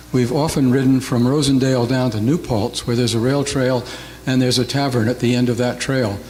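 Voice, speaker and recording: Over noticeable background noise, a man speaks at a fairly quick pace with very even loudness and monotone, flat intonation. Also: medium pitch for a man. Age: 70s. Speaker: public commenter at council meeting. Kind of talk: public comment.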